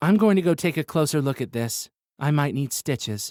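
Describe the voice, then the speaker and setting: A man speaks at a fairly quick clip in a put-on character voice, his pitch fairly high, on a very clean recording with a silent background. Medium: read story. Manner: blunt, sarcastic.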